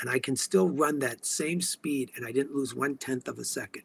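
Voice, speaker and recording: A man with a bright, sharp tone and vocal fry speaks at a fairly slow pace, the sound dry and close with no echo. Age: 60s. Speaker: organic products maker. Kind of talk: casual interview. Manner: halting.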